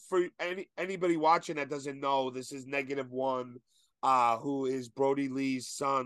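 Moderate pace and an energetic tone against a quiet background. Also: man, fairly high pitch for a man. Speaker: podcast host. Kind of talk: casual chat.

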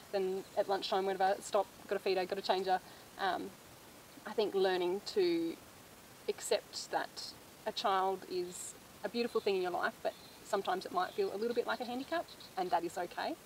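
A woman with an Australian accent, medium pitch, fairly quick pace and fairly even intonation. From Australia, northern Victoria. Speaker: farmer and mother. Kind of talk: casual chat.

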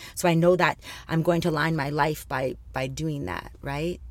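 On a very clean recording with a silent background, a woman with a Canadian accent speaks at a fairly quick pace with very deep, low pitch, vocal fry and fairly even intonation. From Thunder Bay, Ontario, Canada. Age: 40s. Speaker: cancer survivor and women's mentor. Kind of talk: interview.

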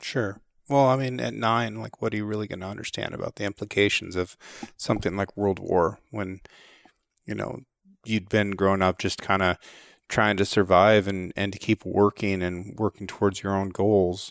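A man's plain, everyday voice, fairly low in pitch, at a moderate pace with fairly even intonation, dry and close with no echo, in a very clean recording against a silent background. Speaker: podcast interviewer. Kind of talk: interview.

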